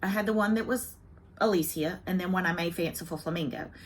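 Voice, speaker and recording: In a Southern US accent, a woman speaks in a bright, sharp tone with ordinary pitch variation. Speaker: cross-stitch video blogger. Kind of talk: casual chat. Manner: chatty, talkative.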